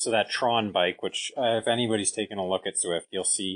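In a Canadian accent, a man talks at a fairly quick pace with a fairly low pitch and ordinary pitch variation. He has a plain, everyday voice, and the background is quiet. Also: dry, close sound with no echo. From Canada. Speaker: professional cyclist and coach. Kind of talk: interview.

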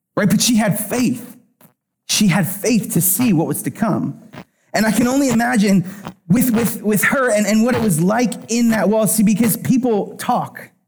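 With an American accent and an animated tone, the speaker goes at a moderate pace with ordinary pitch variation and very even loudness, audible room echo around the voice. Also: man, high pitch for a man. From Pennsylvania. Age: 30s. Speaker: worship pastor. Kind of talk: sermon.

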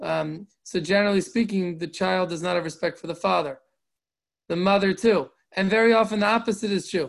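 A man's high-pitched voice at a fairly quick pace. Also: ordinary pitch variation. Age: 40s. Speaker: rabbi and Torah teacher. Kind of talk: Torah class. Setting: online group call. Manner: halting.

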